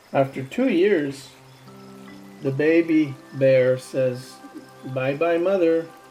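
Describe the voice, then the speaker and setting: Music plays behind a man whose voice sits fairly high for a man. He talks very slowly, with long, frequent pauses. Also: ordinary pitch variation. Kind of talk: children's book read aloud.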